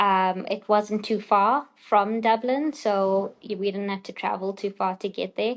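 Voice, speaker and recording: This woman has a strong South African accent and a medium pitch, speaking at a fairly slow pace with hardly any pauses. Her intonation stays fairly even against a quiet background. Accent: South African, still quite strong. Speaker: doctor. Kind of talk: podcast interview.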